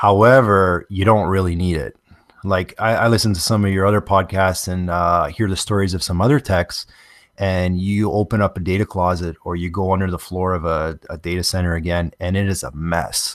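A man with a Canadian accent, very deep and low in pitch, fairly even in intonation, at a moderate pace, in a very clean recording with a silent background. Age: 30s. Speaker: structured cabling contractor. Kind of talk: interview.

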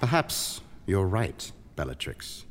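A man puts on a character voice, low in pitch, with big pitch swings. He talks at a slow pace.

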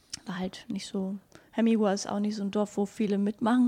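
Fairly quick and somewhat breathy, a woman speaks in a medium pitch with a dark, mellow tone and monotone, flat intonation. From Canary Islands (La Gomera), German parents. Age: 30s. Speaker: animal shelter volunteer. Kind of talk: interview. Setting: animal shelter surrounded by cats.

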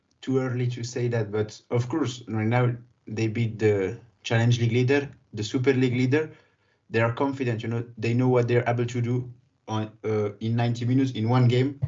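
The voice is somewhat breathy, with monotone, flat intonation and a moderate pace. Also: man, medium pitch for a man. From Geneva, Switzerland. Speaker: football podcast co-host. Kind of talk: casual football discussion.

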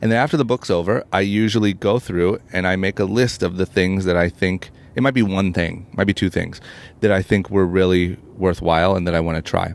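Speaking at a fairly quick pace with an American accent, this voice holds a very even loudness and fairly even intonation on a very clean recording with a silent background. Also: man, very deep, low pitch for a man. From Ohio, US Midwest. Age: 30s. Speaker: entrepreneur and podcast host. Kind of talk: interview conversation.

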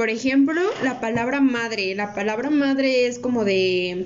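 A woman with a fairly high pitch at a fairly slow pace, amid audible room echo and noticeable background noise. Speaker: podcast co-host. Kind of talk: casual chat.

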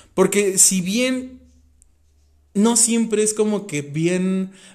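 A man is speaking. His tone is animated. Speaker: podcast host. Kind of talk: casual chat.

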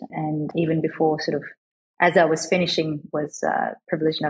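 A woman with an Australian accent and a very deep, low pitch, at a moderate pace over background music. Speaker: venture capital investor. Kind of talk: interview.

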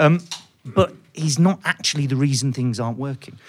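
A man speaks with a British accent. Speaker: economics podcast host. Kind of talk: live panel discussion. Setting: stage with audience.

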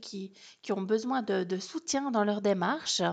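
Against a quiet background, a woman with a plain, everyday voice speaks at a fairly high pitch with lively intonation. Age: 30s. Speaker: podcast host and holistic coach. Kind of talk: solo podcast monologue.

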